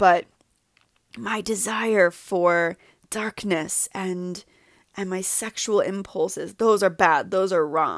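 A woman's medium-pitched voice with an American accent, very slow with long, frequent pauses, in a very clean recording with a silent background and a dry, close sound with no echo. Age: 30s. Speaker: podcast host, healing coach. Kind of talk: solo monologue, personal reflection.

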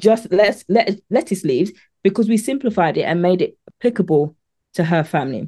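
A woman with a British accent, medium pitch and a dark, mellow tone, lively intonation at a moderate pace, quiet background. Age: 40s. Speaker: meal prep coach. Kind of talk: interview.

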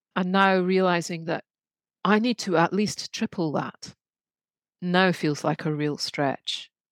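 A woman with a British accent speaks at a fairly slow pace in a fairly low pitch, her pitch variation ordinary, the sound dry and close with no echo on a very clean recording with a silent background. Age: 50s. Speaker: artist and creative coach. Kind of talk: casual chat.

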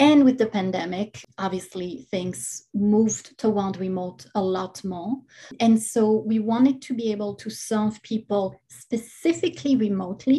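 A woman's somewhat breathy, dark, mellow voice with a non-native accent, fairly high in pitch, with ordinary pitch variation and a fairly slow pace. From outside the US, immigrated. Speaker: hypnotist and yoga teacher. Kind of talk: interview conversation.

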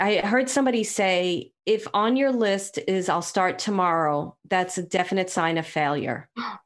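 A woman with an American accent and lively intonation at a fairly slow pace, in a very clean recording with a silent background. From New York City (Brooklyn). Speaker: psychic medium and business owner. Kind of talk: casual interview chat.

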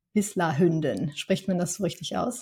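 A woman speaks with ordinary pitch variation and a somewhat breathy quality. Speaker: podcast host. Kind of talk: interview conversation. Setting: studio.

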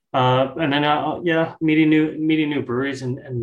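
His voice is somewhat breathy. This man keeps to a moderate pace. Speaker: marketing and events manager. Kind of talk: casual interview chat.

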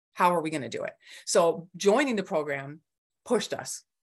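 Using a normal speaking voice, a woman with an American accent talks at a fairly quick pace and a fairly low pitch. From Michigan, US. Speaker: design coaching client. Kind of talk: interview testimony.

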